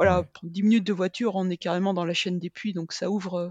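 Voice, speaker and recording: In a dry, close recording with no echo and a quiet background, a woman talks at a moderate pace and medium pitch with a monotone, flat intonation. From Brittany, France. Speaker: sports medicine doctor and professor. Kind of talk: interview.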